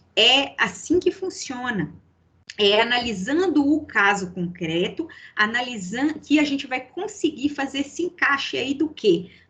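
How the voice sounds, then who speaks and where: Her tone is bright and sharp, with a high pitch and very wide pitch swings. The woman talks at a fairly slow pace. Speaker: law professor. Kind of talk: lecture.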